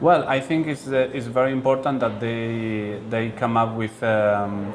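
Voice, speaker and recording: A man's medium-pitched voice with a Spanish accent, fairly slow and fairly even in intonation, over music in the background. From Spain. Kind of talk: interview. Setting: board meeting event. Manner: halting, many fillers and repetitions.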